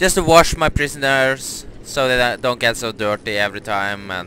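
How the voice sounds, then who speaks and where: There is light background noise as a man talks with ordinary pitch variation, the sound dry with no echo. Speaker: gamer. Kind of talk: casual gameplay commentary.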